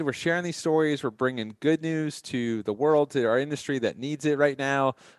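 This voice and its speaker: With hardly any pauses, a man talks at a fairly quick pace in a plain, everyday voice at a fairly high pitch with ordinary pitch variation, the sound dry and close with no echo over a quiet background. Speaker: podcast host. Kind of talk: scripted intro and casual business podcast.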